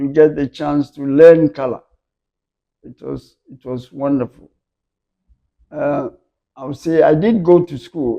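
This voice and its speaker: The tone is dark and mellow, at a very slow pace. The sound is dry and close, with no echo. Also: man. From Ghana. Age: 80s+. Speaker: photographer. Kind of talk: interview answer.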